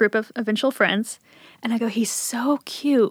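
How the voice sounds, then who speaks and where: A woman speaks in an American accent with monotone, flat intonation. Her pace is moderate. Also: dry, close sound with no echo. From Appalachia, Southern Ohio, then Richmond, Virginia. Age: 30s. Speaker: small business owner. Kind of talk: casual interview conversation.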